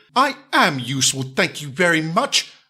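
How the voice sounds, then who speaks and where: A put-on character voice at a moderate pace. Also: man, fairly high pitch for a man. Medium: audio drama. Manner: refined, courteous.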